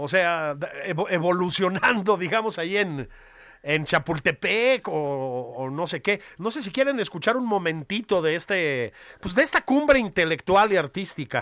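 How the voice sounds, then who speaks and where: A man with a Mexican accent speaks at a fairly slow pace, his pitch high and swinging very widely. The sound is dry and close with no echo, and his tone is bright and sharp. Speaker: political podcast co-host. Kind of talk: casual satirical political chat.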